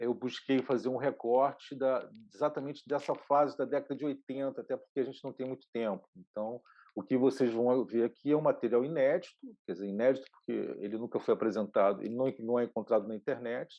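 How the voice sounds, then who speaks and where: A man with a normal speaking voice, medium pitch, a fairly quick pace and fairly even intonation. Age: 60s. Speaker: video artist and producer. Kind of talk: online lecture. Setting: online session.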